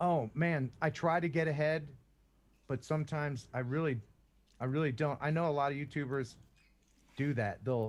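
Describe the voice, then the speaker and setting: On a very clean recording with a silent background, a man with a fairly high pitch speaks at a moderate pace with fairly even intonation, very even loudness, and long, frequent pauses. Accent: American. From US Northeast, Philadelphia. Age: 50s. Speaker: YouTuber and former radio broadcaster. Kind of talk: podcast interview.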